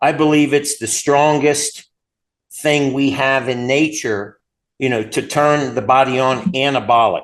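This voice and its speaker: A man talks at a fairly high pitch with ordinary pitch variation. The background is quiet. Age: 60s. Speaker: chiropractor and company founder. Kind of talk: interview. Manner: enthusiastic.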